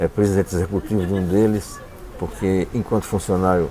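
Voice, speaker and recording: Noticeable background noise fills the clip. The talking keeps to a moderate pace. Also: man. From Paraíba, Brazil. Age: 60s. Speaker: writer and visual artist. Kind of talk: interview.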